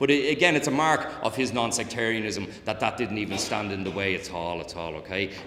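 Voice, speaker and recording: A man with a Dublin accent and a fairly low pitch at a fairly quick pace, amid audible room echo and noticeable background noise. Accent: Dublin Irish. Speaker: historian and author. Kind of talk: public lecture. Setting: talk with live audience. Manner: frequent fillers and repetitions; occasional tics (mild Tourette's).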